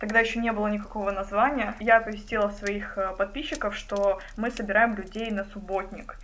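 Her voice sits at a medium pitch, and the woman's intonation stays fairly even. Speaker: bookshop founder, memory project co-founder. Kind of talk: casual chat.

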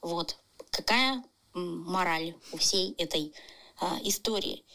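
A woman speaks in a bright, sharp tone with ordinary pitch variation. Her pace is very slow. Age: 30s. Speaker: tattoo artist. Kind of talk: recorded personal story.

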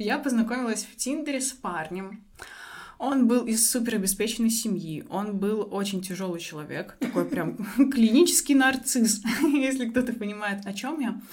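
A woman with fairly high pitch, somewhat breathy, at a moderate pace, with lively intonation, big swings in loudness and audible room echo. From Belarus, Minsk. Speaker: psychologist and coach. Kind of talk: interview.

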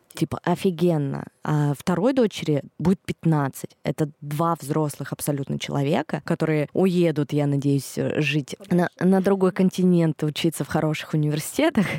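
A dark, mellow tone at a moderate pace, with fairly even intonation, very even loudness and a dry, close sound with no echo. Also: woman, very deep, low pitch for a woman. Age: 30s. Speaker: podcast host and mother of two. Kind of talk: casual chat.

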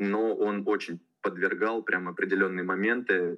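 The speaker is a man with a fairly low voice. He talks in a flat, monotone way. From Russia, Tula region. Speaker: youth football coach. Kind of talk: casual interview.

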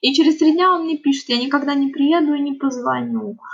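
There is noticeable background noise throughout. The woman's delivery moves along at a fairly quick pace. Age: 30s. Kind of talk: interview testimony.

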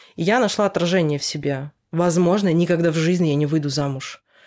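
With a very deep, low pitch and a dark, mellow tone, a woman speaks on a very clean recording with a silent background. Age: 30s. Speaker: hairdresser. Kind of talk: casual chat.

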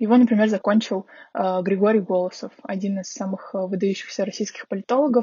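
Somewhat breathy and medium in pitch, a woman speaks at a fairly quick pace with fairly even intonation. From Russia, Magadan then Saint Petersburg. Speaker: master's graduate. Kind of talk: interview.

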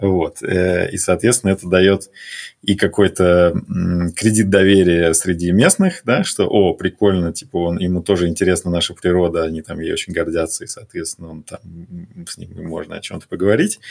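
His pitch is very deep and low. The man's loudness swings widely. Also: fairly even intonation, moderate pace. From Russia. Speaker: corporate strategy executive. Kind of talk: casual interview chat.

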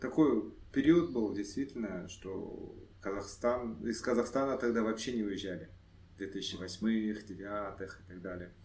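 Over audible room echo, a man with a fairly low pitch speaks at a very slow pace, with ordinary pitch variation and big swings in loudness. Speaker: entrepreneur. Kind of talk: podcast interview.

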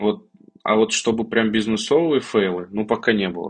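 Here a man speaks at a moderate pace in a normal speaking voice. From Kazan, Russia. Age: 30s. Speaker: tech startup founder. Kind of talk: podcast interview.

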